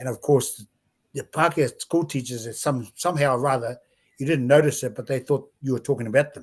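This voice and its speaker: A man talks fairly quickly at a medium pitch, somewhat breathy. His intonation stays fairly even while his loudness swings a lot. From New Zealand, Bay of Plenty (Whakatane). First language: Māori. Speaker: former rugby league player and administrator. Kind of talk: interview.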